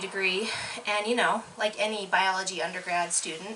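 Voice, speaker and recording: In a slight Canadian accent, a woman speaks in a flat monotone at a moderate pace. Audible room echo and noticeable background noise fill the recording. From Canada. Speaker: bird researcher. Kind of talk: lecture.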